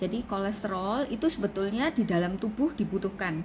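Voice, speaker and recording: A woman with a strong Javanese accent speaks at a fairly quick pace, her voice somewhat breathy. Her pitch is medium, with ordinary variation. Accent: thick Javanese (medok). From Indonesia, Surabaya (East Java). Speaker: doctor. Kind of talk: live-stream health talk. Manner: casual, conversational.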